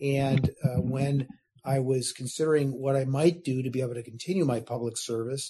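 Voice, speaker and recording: With an American accent, a man talks at a fairly quick pace in a medium pitch. His tone is dark and mellow, somewhat breathy, with fairly even intonation. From US Midwest, Chicago suburbs. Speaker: state insurance regulator. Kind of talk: interview. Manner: formal.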